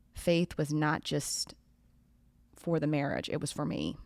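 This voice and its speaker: A woman with a very deep, low pitch speaks at a fairly slow pace and fairly even intonation in a very clean recording with a silent background. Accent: Southern US. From US South, Florida Panhandle. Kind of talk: podcast interview.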